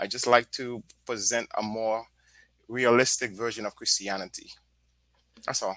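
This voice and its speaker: A man talks at a moderate pace in a medium pitch, his delivery monotone and flat with long, frequent pauses. The bright, sharp tone comes through dry and close with no echo, on a very clean recording with a silent background. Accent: Haitian. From Haiti. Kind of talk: casual panel discussion.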